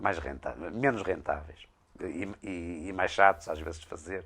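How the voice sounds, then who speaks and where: A man speaks with a very deep, low pitch. His pace is fairly slow, and his pitch varies in an ordinary way. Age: 60s. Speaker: blacksmith craftsman. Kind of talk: interview. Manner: halting, many hesitations.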